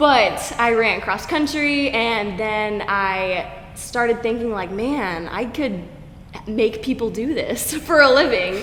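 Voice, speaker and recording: A woman with an American accent speaks at a very slow pace and a fairly high pitch with ordinary variation, amid audible room echo and noticeable background noise. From Oklahoma. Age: 20s. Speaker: fitness coach. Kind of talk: casual interview.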